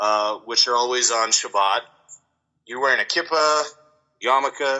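This man speaks at a moderate pace, his medium-pitched voice showing ordinary pitch variation. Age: 30s. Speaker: military veteran and wrestler. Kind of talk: casual chat. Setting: phone or remote call.

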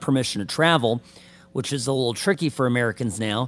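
Delivered at a fairly quick pace, it is an ordinary speaking voice. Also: man. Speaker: attorney. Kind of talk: legal commentary on sports news.

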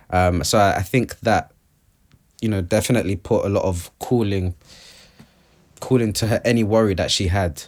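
A man with a London accent, fairly low in pitch, at a moderate pace with ordinary pitch variation and long, frequent pauses. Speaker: artist. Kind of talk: casual chat.

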